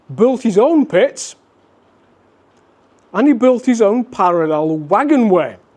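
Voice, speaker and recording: In a Yorkshire accent, a man with a high voice speaks fairly slowly, his pitch swinging very widely. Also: long, frequent pauses. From West Yorkshire, England (Wakefield). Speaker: railway historian. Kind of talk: lecture.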